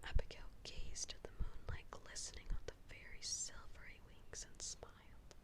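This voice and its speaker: The words come at a fairly slow pace. A woman delivers them in a whisper. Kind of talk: children's story reading. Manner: whispered.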